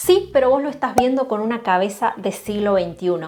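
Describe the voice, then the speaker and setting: A woman with a Rioplatense accent speaks at a fairly quick pace with lively intonation and a fairly high pitch. Noticeable background noise is present. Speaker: Spanish teacher. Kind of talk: educational video talk to camera.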